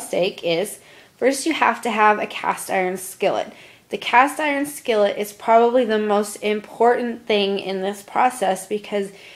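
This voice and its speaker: A woman with an American accent, a fairly high pitch and ordinary pitch variation, at a moderate pace. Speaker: college student. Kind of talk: class presentation, cooking tutorial.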